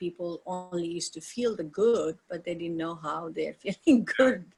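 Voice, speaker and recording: Speaking with an Indian accent, a woman uses a fairly low pitch with ordinary pitch variation. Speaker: yoga teacher. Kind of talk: interview. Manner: halting.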